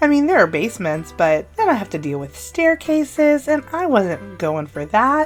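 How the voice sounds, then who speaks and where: Over music in the background, a woman with an upbeat tone swings her pitch very widely. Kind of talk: casual talk over gameplay build. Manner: chatty, upbeat.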